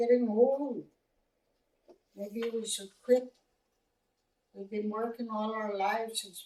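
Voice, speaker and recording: At a very slow pace with long, frequent pauses, a woman speaks in a fairly high pitch, her intonation fairly even but her loudness swinging widely. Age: 70s. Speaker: residential school survivor and elder. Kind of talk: testimony. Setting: classroom presentation.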